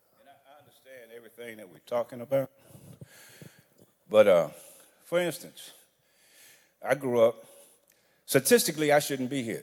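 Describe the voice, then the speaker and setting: A man with a fairly high pitch and ordinary pitch variation talks at a moderate pace. His loudness swings widely, and he leaves long, frequent pauses. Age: 60s. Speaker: audience member. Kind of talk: audience question.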